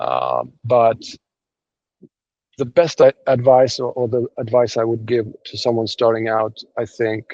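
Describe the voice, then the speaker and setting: In a dry, close recording with no echo, a dark, mellow voice speaks in a monotone, flat intonation at a fairly slow pace with long, frequent pauses. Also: man, medium pitch for a man. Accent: non-native. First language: not English. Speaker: domain investor. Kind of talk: interview. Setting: video call. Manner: halting.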